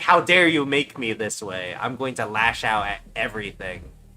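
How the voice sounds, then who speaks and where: In a put-on character voice at medium pitch, the man keeps a moderate pace. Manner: angry, lashing out.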